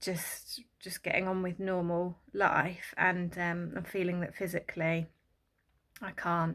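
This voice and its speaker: A woman speaks at a fairly slow pace in a monotone, flat intonation. The recording is very clean, with a silent background. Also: fairly low pitch for a woman. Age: 30s. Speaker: vlogger. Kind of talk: casual chat. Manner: halting, many fillers.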